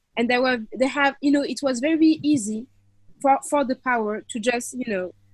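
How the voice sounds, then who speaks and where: A woman speaks with a French accent at a high pitch. Her pace is moderate. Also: ordinary pitch variation. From France, Paris. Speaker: activist and filmmaker. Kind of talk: interview.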